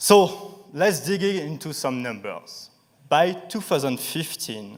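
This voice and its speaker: With a French accent, a man speaks very slowly at a high pitch. His intonation is lively. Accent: sharp French. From France, Paris. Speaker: startup founder. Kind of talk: pitch presentation. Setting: stage with audience.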